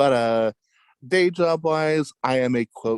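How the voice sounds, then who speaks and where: With an American accent, a man speaks very slowly and with lively intonation, the sound dry and close with no echo. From California, Fresno. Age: 20s. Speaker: podcaster. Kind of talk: casual chat.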